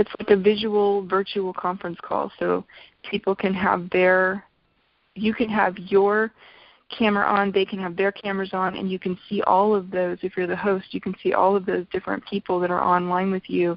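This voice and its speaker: This woman talks at a moderate pace with monotone, flat intonation. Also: medium pitch for a woman. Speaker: essential oils business trainer. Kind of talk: online business training talk.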